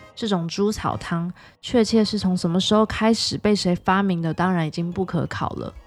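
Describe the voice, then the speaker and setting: Over music in the background, a woman talks at a moderate pace and a medium pitch with fairly even intonation. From Taiwan. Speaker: podcast host. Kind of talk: scripted narration.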